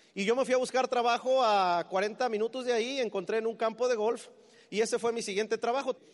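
A man's extremely high-pitched voice, animated in tone, at a fairly quick pace against a quiet background. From Mexico City. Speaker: business motivational speaker. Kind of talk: motivational talk.

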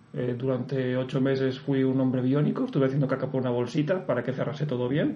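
A man talks with fairly even intonation amid noticeable background noise and audible room echo. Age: 30s. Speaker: ultra-distance runner. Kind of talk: interview. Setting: studio.

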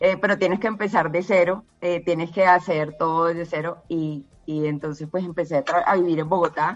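A woman uses an ordinary speaking voice at a fairly low pitch and moderate pace. She keeps fairly even intonation with hardly any pauses. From Colombia, Barranquilla. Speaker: cancer survivor. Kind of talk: testimony.

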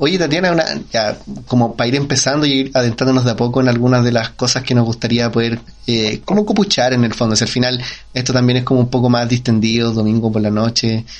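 A man with a Chilean accent talks at a very fast pace in a medium pitch with ordinary pitch variation and very even loudness. Noticeable background noise runs underneath. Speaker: podcast co-host. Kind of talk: casual interview. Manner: halting.

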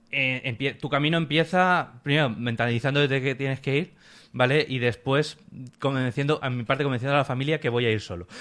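On a very clean recording with a silent background, a man with an unremarkable speaking voice talks fairly quickly at a medium pitch with ordinary pitch variation. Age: 30s. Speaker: pilgrim recounting a hiking trip. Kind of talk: casual interview.

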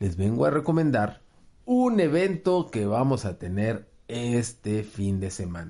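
A man at a very slow pace with a Mexican accent, medium pitch and a dark, mellow tone. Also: quiet background. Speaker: game store promoter. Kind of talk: event announcement.

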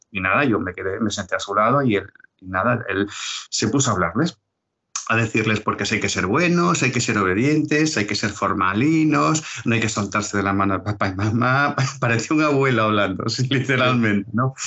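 A man's lively intonation at a fairly quick pace. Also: medium pitch for a man. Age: 60s. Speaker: retired police officer and road safety educator. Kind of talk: interview. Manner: halting, repeats words.

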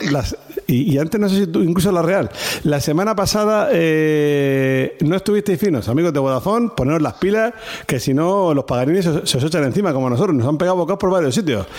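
A man's fairly high voice with lively intonation, very even loudness and a fairly quick pace against noticeable background noise. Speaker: rugby podcast host. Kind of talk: casual chat.

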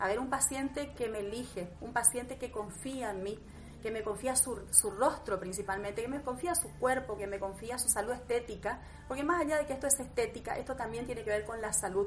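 A woman talks at a fairly quick pace, her fairly high voice showing ordinary pitch variation amid audible room echo and noticeable background noise. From Argentina, Misiones province. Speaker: aesthetic medicine doctor. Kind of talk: interview. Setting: her home consulting room.

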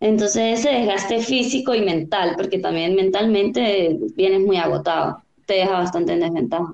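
In an ordinary speaking voice, a woman at a medium pitch talks at a moderate pace with lively intonation and very even loudness. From Venezuela, Táchira. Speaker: olympic open water swimmer. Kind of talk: interview.

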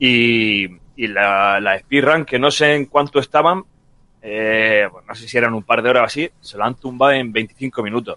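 It's a man with a plain, everyday voice at medium pitch. He keeps a moderate pace and ordinary pitch variation, and the sound is dry and close with no echo. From Murcia, Spain. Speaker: video game podcast guest. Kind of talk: casual chat.

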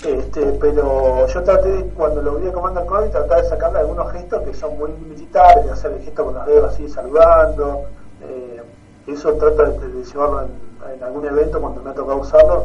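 There are big swings in loudness as a man talks at a fairly quick pace, with audible room echo and noticeable background noise. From Argentina, Tierra del Fuego. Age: 30s. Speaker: Star Wars costume fan. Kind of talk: radio interview.

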